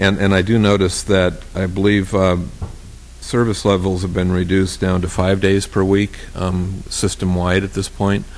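A man speaks with a very deep, low pitch. His intonation stays monotone and flat. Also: moderate pace. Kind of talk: formal council meeting.

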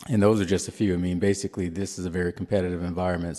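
Against a quiet background, a man speaks in a very deep, low voice with a dark, mellow tone and monotone, flat intonation. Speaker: police department official. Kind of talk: formal committee testimony.

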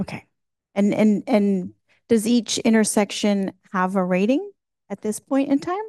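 A woman with a dark, mellow tone speaks at a fairly high pitch and a fairly slow pace, with ordinary pitch variation. Her long, frequent pauses sit in a dry, close sound with no echo. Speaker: commission chair. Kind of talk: formal meeting chairing, reading procedure. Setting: public meeting hall.

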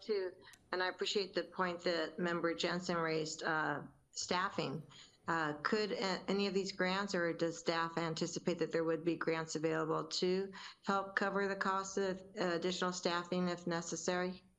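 An unremarkable speaking voice with fairly even intonation, very even loudness and a moderate pace. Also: woman. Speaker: city councilmember. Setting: remote video call.

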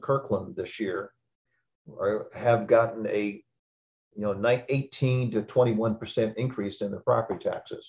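A man speaks at a medium pitch in a somewhat breathy voice. The background is quiet. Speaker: park board chair. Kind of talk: public meeting chairing. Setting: video call. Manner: halting.

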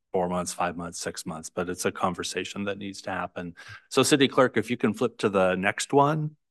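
A man's ordinary speaking voice, fairly low in pitch, at a moderate pace with lively intonation, the sound dry and close with no echo over a quiet background. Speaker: city councilmember. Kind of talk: public meeting.

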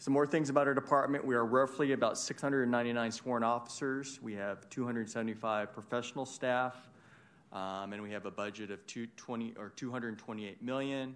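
A man speaks at a medium pitch and a fairly slow pace, with fairly even intonation. His is an ordinary speaking voice, with big swings in loudness. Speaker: police official. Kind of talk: presentation. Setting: city council chambers.

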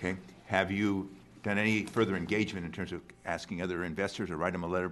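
Very fast and monotone, a man talks in a very deep, low pitch with flat intonation. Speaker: retirement board commissioner. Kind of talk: board meeting discussion. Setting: public board meeting.

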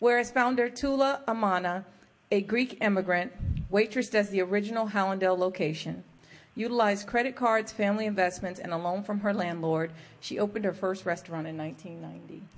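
A woman's normal speaking voice at a medium pitch, with ordinary pitch variation and a fairly quick pace. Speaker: county mayor chairing meeting. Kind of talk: public meeting chairing. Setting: council chambers.

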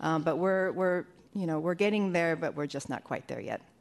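A woman's medium-pitched, unremarkable speaking voice with fairly even intonation. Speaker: fire department deputy chief, EMS. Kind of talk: formal report to a commission.

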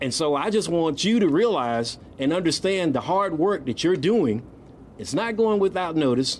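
With an American accent, a high-pitched man speaks at a moderate pace with lively intonation. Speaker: nonprofit CEO and former state legislator. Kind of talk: ceremonial speech. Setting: outdoor public event with audience.

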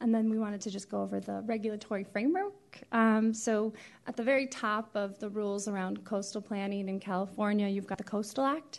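Using an ordinary speaking voice, a woman talks at a fairly quick pace with fairly even intonation. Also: medium pitch for a woman. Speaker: county coastal planner. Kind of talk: staff presentation with slides.

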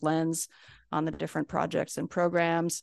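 A woman speaks in a very deep, low pitch with monotone, flat intonation. The background is quiet. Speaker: executive director of transportation agency. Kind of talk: formal meeting report. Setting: public board meeting.

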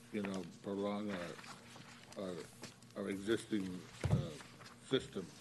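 There is noticeable background noise as a man talks with a fairly low pitch. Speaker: utility board member. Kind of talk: public meeting discussion.

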